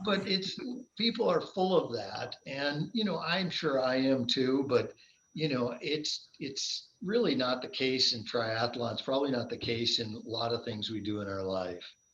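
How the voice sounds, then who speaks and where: A man speaks at a medium pitch and a fairly slow pace, with very wide pitch swings. Noticeable background noise can be heard. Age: 60s. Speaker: endurance athlete, triathlete. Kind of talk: casual interview chat.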